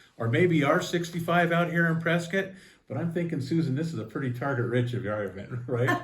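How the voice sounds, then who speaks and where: Audible room echo surrounds a man speaking at a fairly quick pace. His fairly high voice is somewhat breathy, with ordinary pitch variation. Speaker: local talk show host. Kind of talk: interview. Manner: casual.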